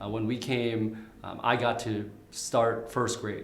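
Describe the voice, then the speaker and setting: A man with a Vietnamese accent speaks at a medium pitch in a monotone, flat intonation, with audible room echo and noticeable background noise. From Vietnam, raised in St. Cloud, Minnesota from age nine. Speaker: candidate for county attorney. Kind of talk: interview. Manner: halting, many fillers and repeats.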